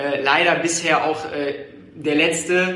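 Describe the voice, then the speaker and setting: Noticeable background noise and audible room echo around a fairly high-pitched male voice. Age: 20s. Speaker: real estate agent. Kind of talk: interview answers. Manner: hesitant, many fillers.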